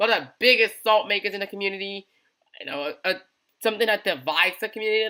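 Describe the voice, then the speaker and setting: This very clean recording with a silent background carries a raised, projected voice with a bright, sharp tone, moving at a very fast pace. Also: man. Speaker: gaming community news host. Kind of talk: unscripted casual news commentary.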